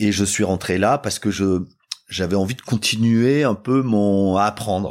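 A man talks at a fairly slow pace with a fairly low pitch. He has an unremarkable speaking voice with ordinary pitch variation. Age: 50s. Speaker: tech company CEO and founder. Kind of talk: interview. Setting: office.

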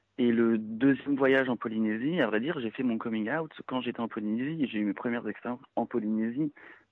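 A man's medium-pitched voice with fairly even intonation and hardly any pauses. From France. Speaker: expatriate worker. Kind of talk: interview. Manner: halting, many repetitions.

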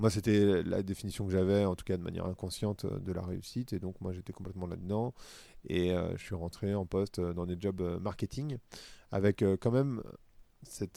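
This man's voice sits fairly low in pitch, with a dark, mellow tone, on a very clean recording over a silent background. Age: 40s. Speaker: podcaster and corporate consultant. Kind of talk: casual interview. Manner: hesitant, many fillers.

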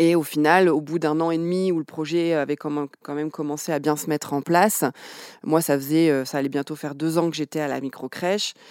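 On a very clean recording with a silent background, a woman with a very deep, low pitch speaks fairly quickly with fairly even intonation. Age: 30s. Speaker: early childhood educator. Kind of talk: interview. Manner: halting.

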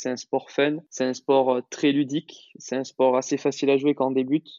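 Medium pitch and a fairly quick pace from a man. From France, Toulouse. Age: 20s. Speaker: professional padel player. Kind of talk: interview. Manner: halting.

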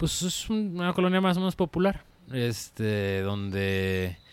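His pitch rises and falls very widely. The speaker is a man. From Mexico, Guadalajara/Zapopan, Jalisco. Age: 30s. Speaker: design studio founder. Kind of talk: casual interview. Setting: in his office garden.

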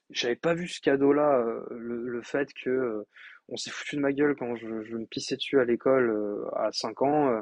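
A man speaks at a fairly slow pace with a medium pitch and ordinary pitch variation, the sound dry and close with no echo. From France. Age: 20s. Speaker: podcast host and coach. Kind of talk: solo podcast monologue. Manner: hesitant with frequent fillers.

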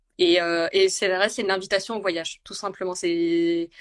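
A woman speaks in a plain, everyday voice. Her pace is moderate, her pitch medium. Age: 30s. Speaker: food and travel content creator. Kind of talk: casual chat. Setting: Instagram live video call.

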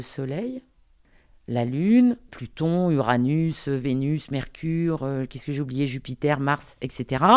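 A woman's very deep, low, dark and mellow voice, with ordinary pitch variation and a fairly slow pace, against a quiet background. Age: 50s. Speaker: astrologer and career guidance consultant. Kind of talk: interview. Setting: at home. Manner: direct.

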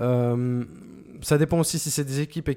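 Man's medium-pitched voice at a fairly quick pace, fairly even intonation, very clean recording with a silent background. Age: 40s. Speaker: sound designer. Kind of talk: interview. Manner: clear, well-placed on the mic.

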